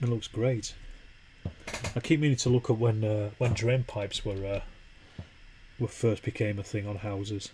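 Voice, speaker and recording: A man with a Yorkshire accent talks at a moderate pace, medium in pitch and relaxed in tone. His intonation stays fairly even, broken by long, frequent pauses. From Yorkshire, northern England. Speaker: wargaming streamer. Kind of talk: casual live stream chat while painting. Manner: relaxed, conversational.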